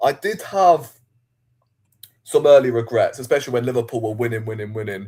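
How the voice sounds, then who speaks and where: A man with a dark, mellow, somewhat breathy voice speaks at a fairly quick pace with long, frequent pauses on a very clean recording with a silent background. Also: medium pitch for a man, ordinary pitch variation. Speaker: football fan. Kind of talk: casual chat.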